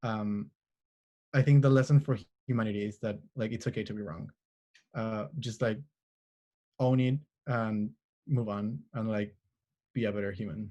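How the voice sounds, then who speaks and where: With a Spanish accent, a man with a fairly low pitch and a dark, mellow tone speaks with ordinary pitch variation and long, frequent pauses. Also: moderate pace. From Chile, Santiago. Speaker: astronomer. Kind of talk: interview answers. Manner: halting, many fillers.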